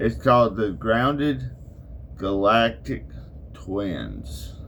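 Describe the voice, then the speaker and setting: In an Arkansas accent, a man with a fairly low pitch and vocal fry speaks at a very slow pace, his pitch swinging very widely. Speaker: podcaster. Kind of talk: casual chat. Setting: barn workshop.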